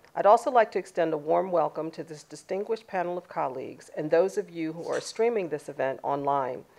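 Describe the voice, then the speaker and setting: Over a quiet background, a woman with a fairly low pitch speaks at a fairly quick pace with lively intonation. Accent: American. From Washington, D C, US. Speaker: keynote speaker, sociologist. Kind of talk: keynote speech. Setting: live event with in-person and online audience. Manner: formal.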